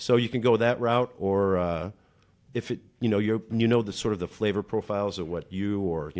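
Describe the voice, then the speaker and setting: A man with an unremarkable speaking voice, fairly low pitch, ordinary pitch variation and a fairly quick pace, on a very clean recording with a silent background. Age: 40s. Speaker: restaurant manager. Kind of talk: casual chat.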